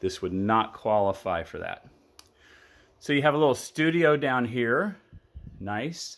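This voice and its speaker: Lively intonation marks this man's speech. His pitch is medium and his pace fairly slow. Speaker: real estate broker giving property tours. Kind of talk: video property walkthrough tour. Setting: walking tour of a house, indoors and outdoors. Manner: enthusiastic, casual. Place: home room. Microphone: phone near.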